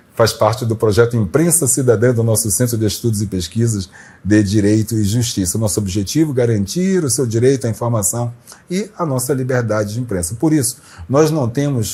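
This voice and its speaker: A man speaks in a plain, everyday voice at a medium pitch with ordinary pitch variation. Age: 60s. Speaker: journalist, interview show host. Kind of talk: channel promo appeal to viewers; casual interview talk.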